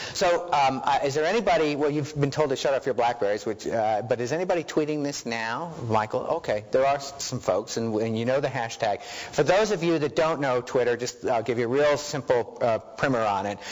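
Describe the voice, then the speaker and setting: A man speaks with hardly any pauses and ordinary pitch variation. Noticeable background noise is present. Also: fairly high pitch for a man, fairly quick pace. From New York. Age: 50s. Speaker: research director. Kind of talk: lecture. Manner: fast.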